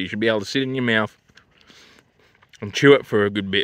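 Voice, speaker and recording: Recorded dry with no echo, a man talks with fairly even intonation. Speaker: vlogger reviewing food. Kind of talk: casual vlog chat. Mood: jokey, crude, laid-back. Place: open country. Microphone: phone near.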